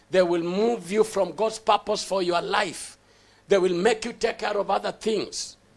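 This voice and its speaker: Here a man talks in a high pitch at a moderate pace. His intonation stays fairly even. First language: not English. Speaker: pastor. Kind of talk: sermon. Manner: halting, repeats words; emphatic preaching.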